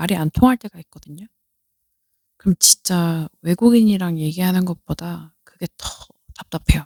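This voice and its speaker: A woman speaks in a dark, mellow, somewhat breathy voice at medium pitch with ordinary pitch variation. The sound is dry and close, with no echo. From South Korea. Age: 30s. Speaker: podcaster. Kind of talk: casual chat.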